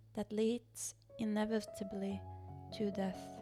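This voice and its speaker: A woman talks very slowly while music plays behind her. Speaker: artist and painter. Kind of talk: reflective video essay narration. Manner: occasionally stumbling over words.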